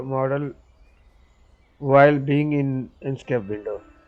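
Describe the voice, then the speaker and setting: Very slowly and with fairly even intonation, a man with a non-native accent speaks at a fairly high pitch. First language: not English. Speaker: 3D rendering tutor. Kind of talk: tutorial voiceover. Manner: halting, many fillers.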